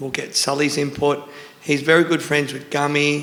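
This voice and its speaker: A man speaks at a moderate pace with a fairly high pitch. Noticeable background noise sits behind him. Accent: Australian. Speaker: tattoo artist and shop owner. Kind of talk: panel talk at a seminar. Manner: casual, rambling.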